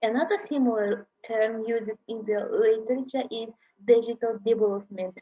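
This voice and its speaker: The woman's voice sits fairly high, and her intonation stays fairly even. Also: moderate pace, big swings in loudness. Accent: Kazakh. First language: Kazakh. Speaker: university lecturer. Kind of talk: lecture. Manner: halting.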